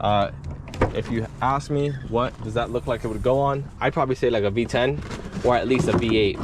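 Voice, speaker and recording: Noticeable background noise behind a man's medium-pitched voice, moderate in pace, with ordinary pitch variation. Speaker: car enthusiast YouTuber. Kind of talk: casual vlog walkthrough. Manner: halting, with fillers; rambling.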